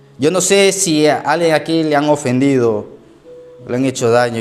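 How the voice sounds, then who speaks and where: A man's lively intonation at a moderate pace, with audible room echo and music in the background. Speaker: pastor. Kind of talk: sermon.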